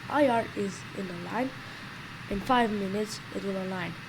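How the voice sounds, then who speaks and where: A woman at medium pitch and moderate pace, with ordinary pitch variation and noticeable background noise. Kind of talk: flight simulator tutorial voice-over. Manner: unscripted, with stutters and restarts.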